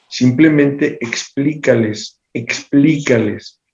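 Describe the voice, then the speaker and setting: A man's fairly high pitch comes out somewhat breathy. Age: 60s. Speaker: political commentator. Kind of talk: panel discussion.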